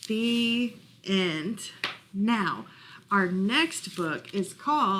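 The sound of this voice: The passage is read in an unforced reading voice.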